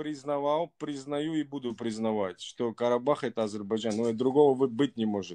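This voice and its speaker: Against a quiet background, the voice has a dark, mellow tone, ordinary pitch variation and a moderate pace with hardly any pauses. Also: man. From Baku, Azerbaijan; Azerbaijan. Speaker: caller. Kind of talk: casual chat. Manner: halting. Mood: earnest, warm, affirming. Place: home room. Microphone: video call.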